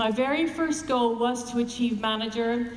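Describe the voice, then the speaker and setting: A woman speaks with a fairly high pitch. Audible room echo and noticeable background noise surround her voice. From Canada. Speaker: network marketing distributor. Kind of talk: motivational speech.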